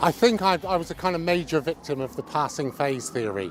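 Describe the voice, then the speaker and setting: Noticeable background noise runs under the speech. A man talks with lively intonation. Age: 60s. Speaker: interviewee. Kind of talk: interview testimony.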